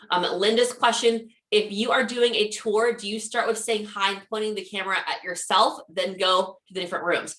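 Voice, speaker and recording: Her fairly high voice stays flat and monotone as this woman speaks. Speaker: social media marketing trainer. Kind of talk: webinar presentation. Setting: live webinar with chat. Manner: fast.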